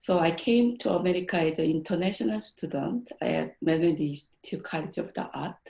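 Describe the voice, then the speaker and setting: A woman with a Korean accent, fairly low-pitched and dark, mellow in tone, with vocal fry, lively intonation, a fairly quick pace and hardly any pauses. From South Korea. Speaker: graphic design professor. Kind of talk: conference presentation.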